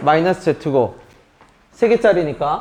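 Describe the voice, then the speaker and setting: A man with a high-pitched voice talks against noticeable background noise. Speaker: math teacher. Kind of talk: lecture.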